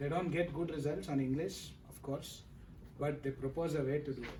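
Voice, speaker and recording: Over noticeable background noise and audible room echo, a man with a Kannada accent speaks at a fairly quick pace in a monotone, flat intonation. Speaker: PhD candidate. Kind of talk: thesis defense Q&A.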